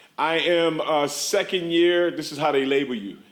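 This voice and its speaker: A man speaks with an American accent at a fairly high pitch. Audible room echo surrounds his voice. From USA. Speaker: social work professor. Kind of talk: conference talk. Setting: stage with audience. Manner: loud; animated.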